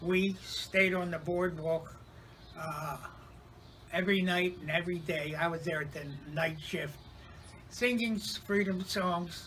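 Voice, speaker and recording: With noticeable noise behind him, a man speaks very slowly at a high pitch. His intonation is fairly even, broken by long, frequent pauses. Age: 80s+. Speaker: former civil rights worker and retired union organizer. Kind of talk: personal recollection to camera. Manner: hesitant, with frequent fillers.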